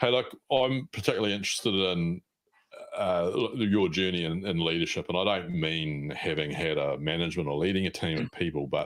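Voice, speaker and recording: A man with a New Zealand accent talks at a fairly quick pace in a very deep, low voice with ordinary pitch variation. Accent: New Zealand, mistaken for Australian. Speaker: podcast host. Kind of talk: podcast interview.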